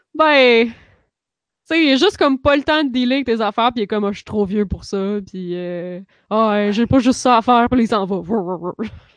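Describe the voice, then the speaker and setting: In an unremarkable speaking voice, a woman talks at a fairly quick pace with a fairly high pitch and lively intonation, the sound dry and close with no echo and the background quiet. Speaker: podcast co-host. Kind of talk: casual chat. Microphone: new microphone.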